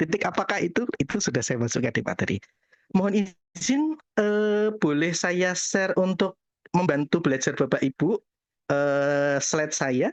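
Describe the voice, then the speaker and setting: A man with a Javanese accent, high in pitch with very wide pitch swings, at a moderate pace in a dry, close sound with no echo. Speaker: acupuncturist. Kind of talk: webinar talk. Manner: casual.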